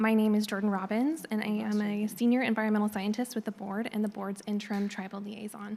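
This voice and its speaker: The speech races along at a very fast pace with monotone, flat intonation and hardly any pauses. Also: woman, fairly high pitch for a woman. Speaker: government environmental scientist. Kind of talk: formal presentation. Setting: public board meeting in auditorium.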